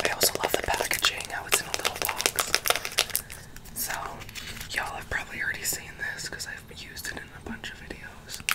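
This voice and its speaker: Whispering at a fairly quick pace, the speaker leaves long, frequent pauses, and the loudness swings widely. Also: woman. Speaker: ASMR creator. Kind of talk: ASMR makeup collection showing, casual talk to camera. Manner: casual, chatty, whispery ASMR delivery. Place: home room. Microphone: earbuds.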